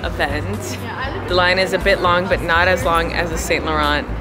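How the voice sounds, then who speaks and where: A woman speaks. Clear music plays in the background. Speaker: fashion vlogger. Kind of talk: casual vlog chat. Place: street. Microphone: phone near.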